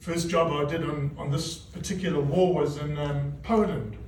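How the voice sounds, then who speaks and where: A man speaks at a moderate pace in a flat monotone. Room echo and noticeable background noise are both audible. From South Africa. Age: 60s. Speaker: news cameraman. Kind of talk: reunion speech. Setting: reunion gathering with audience. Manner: casual, halting.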